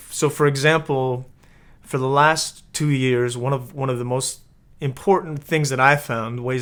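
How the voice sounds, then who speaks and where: Speaking in a flat monotone, a man keeps a moderate pace at a medium pitch. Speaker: acting coach. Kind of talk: tutorial. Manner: casual, many filler words.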